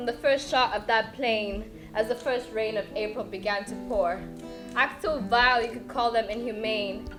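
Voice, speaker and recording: Set against music in the background, a woman talks at a moderate pace in a fairly high pitch with ordinary pitch variation. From Rwanda. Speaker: spoken word poet. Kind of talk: spoken word poetry performance.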